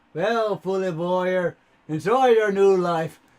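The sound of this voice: A man uses a put-on character voice that is raised and projected, pitched high. He talks at a fairly slow pace.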